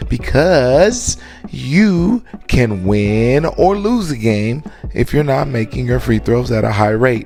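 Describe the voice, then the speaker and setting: Music plays in the background as a man speaks in an animated tone. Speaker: basketball trainer. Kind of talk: workout tutorial.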